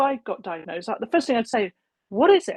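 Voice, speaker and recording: Very wide pitch swings in an English accent, with a dry, close sound and no echo. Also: woman. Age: 60s. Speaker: cancer prevention advocate. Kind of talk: casual chat. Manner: animated.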